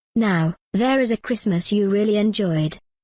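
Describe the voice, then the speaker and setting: A cartoonish character voice that sounds female comes through against a quiet background. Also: medium pitch for a woman, moderate pace. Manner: calm, solemn, occasionally tart.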